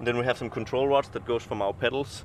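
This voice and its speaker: Over noticeable background noise, a man talks very fast in a flat monotone, the sound dry with no echo. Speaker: helicopter flight instructor. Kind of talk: explaining walkaround tour. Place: street. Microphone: phone near.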